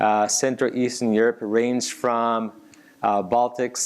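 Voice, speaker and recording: A man speaks with a Japanese accent. His pace is fairly slow and his intonation fairly even. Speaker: tech company executive. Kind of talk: interview on stage. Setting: stage with audience. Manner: halting.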